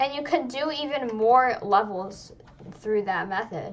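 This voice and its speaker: Through noticeable background noise, a woman talks at a fairly slow pace in a high pitch with lively intonation. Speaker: gaming youtuber. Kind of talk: gameplay tutorial. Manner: casual, filler-heavy.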